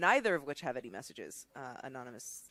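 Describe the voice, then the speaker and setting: The speech runs at a very fast pace with a Californian accent. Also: very clean recording, silent background. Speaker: charity stream co-host. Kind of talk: casual chat.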